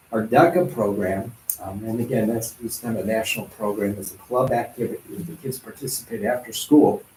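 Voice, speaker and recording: A somewhat breathy man with a dark, mellow tone speaks at a fairly quick pace. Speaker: school district official. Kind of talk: presentation to village council. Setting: council meeting. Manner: fast.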